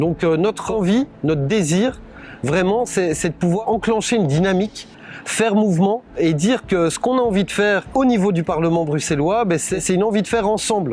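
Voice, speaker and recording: Noticeable background noise accompanies a man with a Brussels accent. He speaks at a moderate pace and high pitch with ordinary pitch variation. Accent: Belgian French, Brussels. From Belgium, Brussels (Anderlecht). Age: 40s. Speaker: political candidate. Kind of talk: campaign presentation. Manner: hesitant, many fillers.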